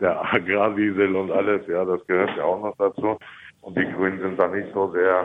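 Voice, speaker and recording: This man has a very deep, low pitch. He speaks at a moderate pace. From Lower Saxony, Hanover region. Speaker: farmer and mayoral candidate. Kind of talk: radio interview.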